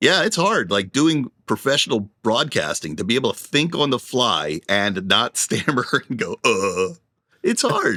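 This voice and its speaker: A man talks at a fairly slow pace in a medium-pitched voice with vocal fry and a bright, sharp tone. His pitch makes very wide swings, and the sound is dry and close with no echo. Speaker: podcast co-host. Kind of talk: casual chat. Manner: stammering.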